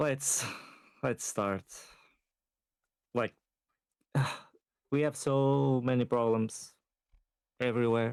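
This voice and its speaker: The man's medium-pitched voice keeps fairly even intonation and very even loudness, moving at a very slow pace with long, frequent pauses. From Portugal. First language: Portuguese. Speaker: caller. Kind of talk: casual chat.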